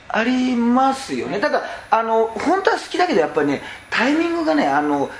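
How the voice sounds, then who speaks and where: With noticeable background noise behind him, a man speaks at a fairly quick pace in an extremely high pitch that swings very widely. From northern Hyogo, Toyooka (Kansai region). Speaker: stand-up comedian. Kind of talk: casual chat. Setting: karaoke box.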